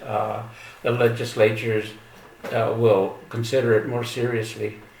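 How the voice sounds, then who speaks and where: Noticeable background noise surrounds a man who talks fairly slowly. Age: 80s+. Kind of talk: interview answer. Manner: hesitant, repeats words.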